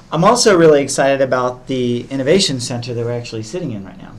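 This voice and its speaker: A man with an American accent at a very fast pace, ordinary pitch variation, noticeable background noise and audible room echo. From US South. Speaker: podcast host, interviewer. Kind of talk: interview. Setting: innovation center room.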